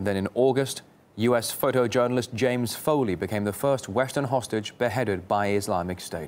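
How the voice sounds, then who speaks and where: A man speaks in a plain, everyday voice at a medium pitch. He moves at a fairly quick pace with ordinary pitch variation. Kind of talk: TV news report. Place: studio.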